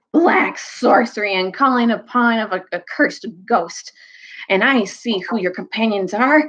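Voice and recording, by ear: The speaker is reading aloud in a natural voice. The reading goes on throughout the clip.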